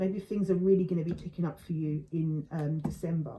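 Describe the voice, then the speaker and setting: A woman's fairly low voice at a fairly quick pace, with fairly even intonation and noticeable background noise. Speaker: tarot reader. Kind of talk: tarot reading. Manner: fast; halting, many fillers and repeats.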